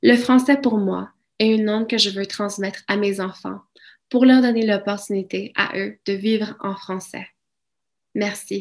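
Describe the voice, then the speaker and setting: With a Spanish accent, a woman speaks at a fairly slow pace and a medium pitch, with long, frequent pauses. Her intonation is fairly even, and the background is quiet. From Mexico, raised in Alberta, Canada from childhood. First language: Spanish (speaking French). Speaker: francophone community member. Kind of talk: prepared speech.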